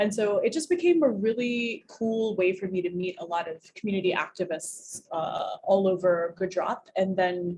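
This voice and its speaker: A woman with a plain, everyday voice and an American accent talks at a moderate pace and medium pitch, with ordinary pitch variation. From US. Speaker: community leader. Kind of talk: interview. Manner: casual, filler-heavy.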